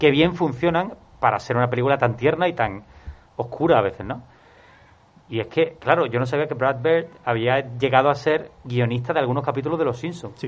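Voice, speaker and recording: A normal speaking voice, fairly quick, its pitch varying in an ordinary way. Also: man. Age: 30s. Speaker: film podcast panelist. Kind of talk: casual chat.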